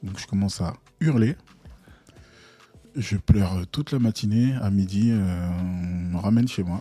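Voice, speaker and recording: With music in the background, a man speaks with long, frequent pauses. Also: ordinary pitch variation. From Togo and Ivory Coast (Lomé, Abidjan). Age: 40s. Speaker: UX/UI designer and entrepreneur, podcast co-host. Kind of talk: casual interview. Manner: hesitant, many fillers.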